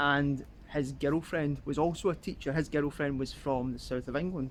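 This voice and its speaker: Speaking in a Scottish accent, a man uses a fairly high pitch, fairly even intonation and a moderate pace. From Scotland. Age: 20s. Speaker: travel vlogger. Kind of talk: casual vlog narration.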